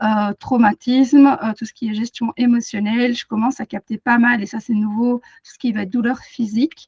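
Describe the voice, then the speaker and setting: Somewhat breathy woman's voice, fairly high in pitch with fairly even intonation, dry and close with no echo. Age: 30s. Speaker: animal communicator and energy therapist. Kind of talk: webinar presentation. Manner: hesitant, many fillers.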